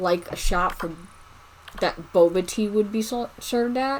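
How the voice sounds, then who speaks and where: Amid noticeable background noise, a woman speaks at a fairly slow pace and medium pitch with ordinary pitch variation. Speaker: gaming YouTuber. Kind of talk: casual gameplay commentary. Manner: halting, stumbling over words.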